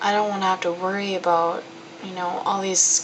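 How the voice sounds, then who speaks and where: A woman speaks at a medium pitch in a flat monotone, with noticeable background noise behind her. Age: young. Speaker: college student. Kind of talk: personal video diary. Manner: casual, candid.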